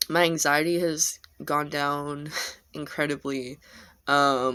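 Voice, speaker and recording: At a very slow pace, the voice comes through a very clean recording with a silent background. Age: 20s. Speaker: vlogger. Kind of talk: casual vlog. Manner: hesitant, many fillers.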